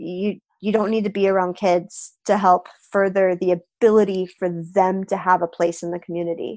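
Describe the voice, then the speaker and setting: This is a woman with an American accent and an ordinary speaking voice, medium in pitch. She keeps a moderate pace and fairly even intonation on a very clean recording with a silent background. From Florida. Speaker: project manager and developer, youth event organizer. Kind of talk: podcast interview.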